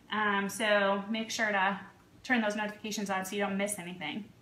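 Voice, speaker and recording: Speaking at a very fast pace, a woman is heard amid noticeable background noise and audible room echo. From Vermont, US (Cambridge). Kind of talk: live stream sales chat. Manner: animated.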